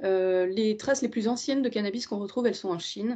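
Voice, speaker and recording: Her voice has a dark, mellow tone, and this woman uses ordinary pitch variation. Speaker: historian. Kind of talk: lecture. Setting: video call. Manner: halting, many hesitations.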